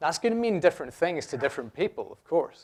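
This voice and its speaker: A man with a Scottish accent at a fairly quick pace, on a very clean recording with a silent background. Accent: noticeable Scottish. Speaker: software developer, conference speaker. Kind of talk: conference talk. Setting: stage with audience. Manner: conversational, jokey with audience.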